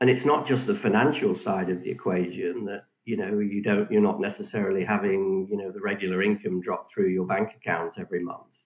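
With an English accent, a man talks at a fairly quick pace and fairly low pitch, with ordinary pitch variation and hardly any pauses. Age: 60s. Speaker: financial advisor. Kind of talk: casual chat.

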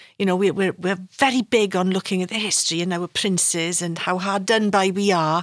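On a very clean recording with a silent background, a woman with a Welsh accent speaks fairly quickly with hardly any pauses, at a medium pitch and with fairly even intonation. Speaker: podcast host. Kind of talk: interview conversation.

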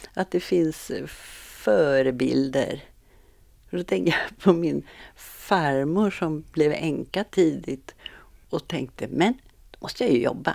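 On a very clean recording with a silent background, the voice has vocal fry and lively intonation at a very slow pace. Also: woman, very deep, low pitch for a woman. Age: 70s. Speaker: retired physiotherapist and meditation leader. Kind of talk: casual interview.

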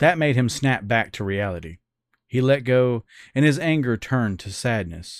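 Recorded very cleanly against a silent background, a man with a plain, everyday voice speaks at a medium pitch and a moderate pace. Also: lively intonation. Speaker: podcast host reading a story. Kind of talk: literary audiobook reading. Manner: first-person narration, measured and intimate.

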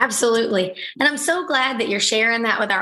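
Noticeable background noise fills the recording. Over it, a woman talks at a fairly quick pace. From Alabama. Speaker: podcast host, military spouse. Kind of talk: casual interview.

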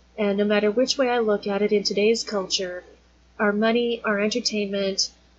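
With noticeable background noise behind her, a woman speaks fairly quickly at a medium pitch in a monotone, flat delivery. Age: 40s. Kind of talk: casual teaching monologue.

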